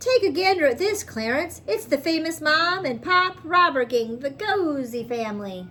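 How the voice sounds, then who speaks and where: A woman puts on a character voice, pitched high, at a moderate pace with hardly any pauses. Background noise is clearly audible. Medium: read story.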